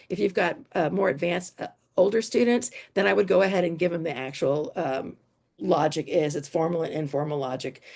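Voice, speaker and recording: A woman with a dark, mellow tone speaks at a fairly quick pace with lively intonation. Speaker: teacher presenting at an education conference. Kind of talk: conference workshop presentation. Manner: fast.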